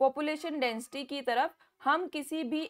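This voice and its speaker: In quiet surroundings, a woman talks fairly slowly, her pitch varying in an ordinary way. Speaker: online biology teacher. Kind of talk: online class lecture. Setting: live online class. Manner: loud.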